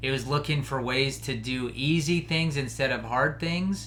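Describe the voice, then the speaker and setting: A man's medium-pitched voice with vocal fry, ordinary pitch variation and audible room echo. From Colorado. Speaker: podcast host; hunter. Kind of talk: casual monologue.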